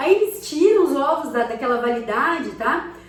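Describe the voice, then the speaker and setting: A woman speaks high in her range with lively intonation at a moderate pace, over noticeable background noise and audible room echo. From Brazil, countryside. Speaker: cooking vlogger. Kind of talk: casual cooking tutorial. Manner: chatty, conversational.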